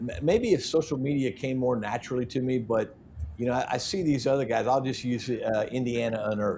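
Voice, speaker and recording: Talking at a fairly quick pace, a man uses a medium pitch, a somewhat breathy voice with a dark, mellow tone, and ordinary pitch variation. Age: 60s. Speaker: metal detecting youtuber. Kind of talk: casual chat.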